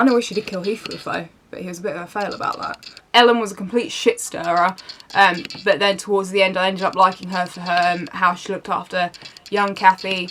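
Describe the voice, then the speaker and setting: The speaker has a British accent. Pitch varies in an ordinary way. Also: woman. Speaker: book reviewer. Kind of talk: casual talk to camera.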